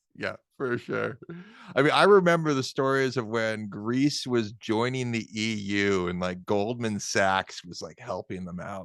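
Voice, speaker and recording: A man with an American accent in a normal speaking voice, medium in pitch with ordinary pitch variation, at a fairly slow pace, with big swings in loudness over a quiet background. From New Hampshire, US. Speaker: podcast host. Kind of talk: casual chat.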